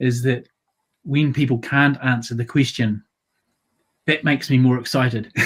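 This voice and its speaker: With a New Zealand accent, a man speaks at a medium pitch in an enthusiastic tone and at a fairly quick pace. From Waikato, New Zealand. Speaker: counsellor and primary school teacher. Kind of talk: interview answer.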